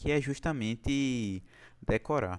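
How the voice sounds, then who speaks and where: A man talks with ordinary pitch variation. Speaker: chemistry tutor. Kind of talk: online class. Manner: casual.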